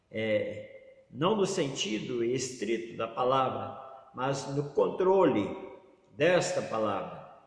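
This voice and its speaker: A man with a fairly high pitch and lively intonation talks at a very slow pace, with noticeable background noise and audible room echo. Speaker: pastor. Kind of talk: sermon.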